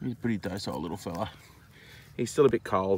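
A man talks at a fast pace with a low pitch. His pitch variation is ordinary.

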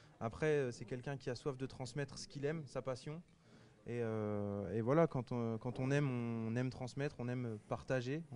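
This man has a normal speaking voice, medium in pitch, with fairly even intonation at a moderate pace. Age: 30s. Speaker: TV cooking contest winner, chef. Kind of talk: interview.

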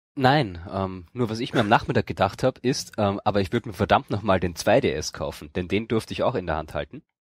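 In a very clean recording with a silent background and a dry, close sound with no echo, a man with an ordinary speaking voice talks at a fairly quick pace and fairly low pitch, his intonation lively and hardly any pauses. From Austria. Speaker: gaming podcaster, event reporter. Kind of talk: casual chat.

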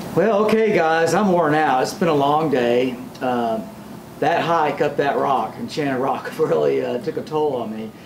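Light background noise can be heard. Over it, a man talks at a moderate pace. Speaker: travel vlogger. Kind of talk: casual vlog chat. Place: home room. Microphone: phone near.

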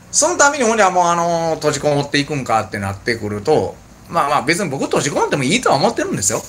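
A man talks at a very fast pace with vocal fry and very wide pitch swings. Light background noise is heard. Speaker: bar owner and channel host. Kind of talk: casual chat. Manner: halting, filler-heavy; laughs often. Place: bar.

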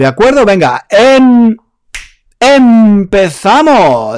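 Animated in tone, a man speaks with a high pitch. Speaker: online Spanish teacher. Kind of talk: live online lesson. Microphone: close to a powerful mic.

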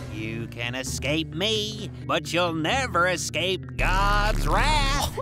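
A cartoonish character voice talks at a very slow pace over loud background noise. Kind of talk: cartoon voice impression. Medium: game stream. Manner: preachy, indignant.

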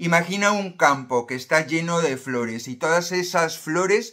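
A man speaks with a fairly high pitch and very wide pitch swings, at a moderate pace. His tone is bright and sharp, and the background is quiet. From Spain, Galicia (A Coruña); Galicia, Spain. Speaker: self-help youtuber. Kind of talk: motivational monologue to camera. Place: home room. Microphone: phone near.

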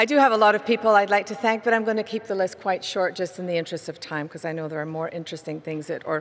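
A woman speaks at a very fast pace in a medium pitch, with ordinary pitch variation and light background noise. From Scotland, Aberdeen; Scotland. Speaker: barbershop chorus singer and award recipient. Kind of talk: acceptance speech. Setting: arena stage with audience. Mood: warm, grateful, emotional. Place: stadium. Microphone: podium.

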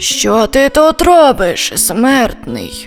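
Over clear music in the background, a hoarse, put-on character voice performs. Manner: challenging, stern.

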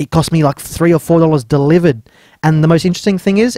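The sound is dry with no echo and the background quiet as a man speaks with ordinary pitch variation. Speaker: electronics hobbyist reviewer. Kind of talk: casual tech review narration. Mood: wry, amused. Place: workshop.

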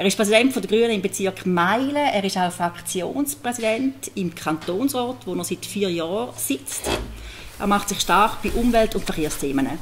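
A woman at a moderate pace with lively intonation, over light background noise. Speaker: moderator and local journalist. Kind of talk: moderated panel discussion. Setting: stage with audience. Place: hall. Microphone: handheld.

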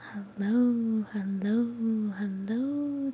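A soft-spoken woman over light background noise. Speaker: ASMR creator. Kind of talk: soft-spoken ASMR chat. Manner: very soft, quiet ASMR talking. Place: home room. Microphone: studio mic.

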